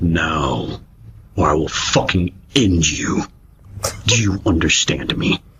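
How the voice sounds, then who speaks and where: A man's put-on character voice, very deep and low, fairly slow with long, frequent pauses. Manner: menacing, sultry.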